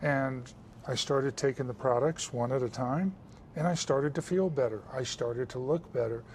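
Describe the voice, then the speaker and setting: A man's somewhat breathy voice, fairly high in pitch, with ordinary pitch variation at a moderate pace. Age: 60s. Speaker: military veteran and supplement seller. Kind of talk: interview on a lifestyle show.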